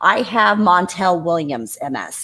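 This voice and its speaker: A woman with a Midwestern US accent, bright and sharp in tone, with lively intonation, on a very clean recording with a silent background. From Indiana. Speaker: guest living with multiple sclerosis. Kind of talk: casual chat.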